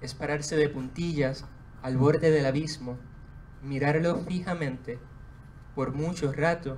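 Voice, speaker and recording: Audible room echo surrounds a man who speaks at a very slow pace in a fairly high voice with fairly even intonation. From Puerto Rico, Juana Díaz. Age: 20s. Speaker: poet. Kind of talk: book presentation with poetry reading. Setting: bookstore event with audience.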